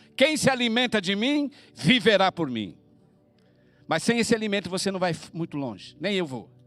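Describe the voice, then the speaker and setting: A man's high-pitched voice at a moderate pace, with very wide pitch swings and music in the background. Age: 70s. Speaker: missionary preacher. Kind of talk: sermon.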